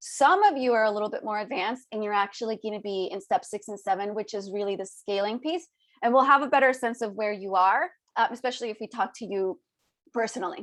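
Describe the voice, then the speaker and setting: At a very fast pace, a woman talks with a fairly high pitch. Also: ordinary pitch variation. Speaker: business coach. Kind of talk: webinar training.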